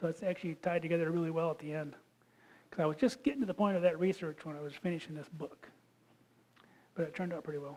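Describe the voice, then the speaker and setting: A man with a Michigan accent talks at a very fast pace in a high voice, with ordinary pitch variation. His speech breaks up with long, frequent pauses. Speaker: geologist and creation science speaker. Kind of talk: lecture. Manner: casual and joking.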